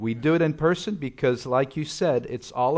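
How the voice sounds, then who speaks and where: With a slight French accent, a man speaks with ordinary pitch variation. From French-speaking Switzerland. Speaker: guest preacher. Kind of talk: sermon. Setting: church. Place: church. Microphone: lapel.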